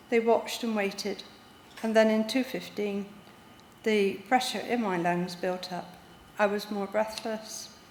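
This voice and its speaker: A woman speaks at a medium pitch with monotone, flat intonation. Noticeable background noise runs underneath. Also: long, frequent pauses. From Devon, England. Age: 60s. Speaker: heart transplant patient. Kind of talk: personal testimony, read from notes.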